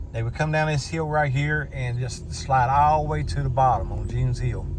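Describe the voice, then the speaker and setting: With an Appalachian accent, a man speaks at a moderate pace amid noticeable background noise and audible room echo. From southern West Virginia, McDowell County. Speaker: YouTuber giving a driving tour. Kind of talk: casual tour narration. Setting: in a car.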